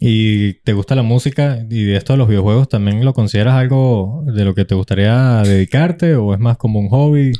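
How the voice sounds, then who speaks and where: A man with a Venezuelan accent speaks at a moderate pace and medium pitch, his dark, mellow tone held at a very even loudness with ordinary pitch variation, hardly any pauses, and a dry, close sound with no echo. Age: 20s. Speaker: podcast host. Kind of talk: casual chat.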